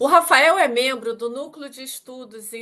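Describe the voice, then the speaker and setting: A woman with a Rio de Janeiro accent speaks at a fairly slow pace in a bright, sharp tone with ordinary pitch variation. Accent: carioca. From Rio de Janeiro, Brazil. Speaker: talk show host, technology executive. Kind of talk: interview. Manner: formal.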